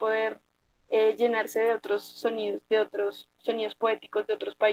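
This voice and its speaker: At a moderate pace, a woman with an unremarkable speaking voice talks at a fairly high pitch with fairly even intonation, in a dry, close sound with no echo. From Bogotá, Colombia. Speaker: poet. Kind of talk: interview answer.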